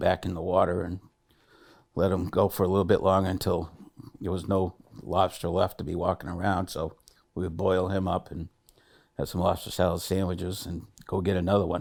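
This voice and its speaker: Very deep and low, a man's voice stays monotone and flat. He moves at a fairly quick pace. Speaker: basket maker. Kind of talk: oral history interview answer.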